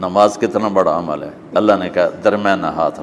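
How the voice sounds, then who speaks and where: This is a man speaking at a fairly low pitch. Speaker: Islamic scholar. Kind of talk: religious sermon.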